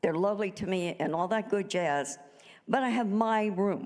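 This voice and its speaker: A woman talks at a moderate pace with a medium pitch. Audible room echo surrounds her voice. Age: 80s+. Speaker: minister. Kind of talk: sermon. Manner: conversational, halting with repetitions.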